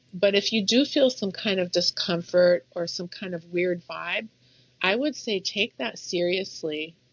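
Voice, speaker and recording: A woman with a plain, everyday voice speaks at a medium pitch. Her pace is fairly slow and her intonation lively. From Egypt, moved to US as child. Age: 60s. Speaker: salon owner. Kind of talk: interview conversation.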